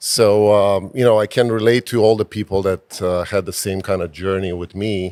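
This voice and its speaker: With a Romanian accent, a man speaks at a moderate pace in a fairly low pitch and a monotone, flat intonation. He has hardly any pauses, and the sound is dry and close with no echo. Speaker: physician and real estate investor. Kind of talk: interview. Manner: hesitant, many fillers.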